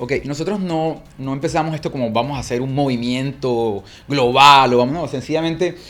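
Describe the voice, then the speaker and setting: Speaking at a moderate pace with ordinary pitch variation, a man with a Colombian accent has a fairly high pitch. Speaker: church movement leader. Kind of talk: interview conversation.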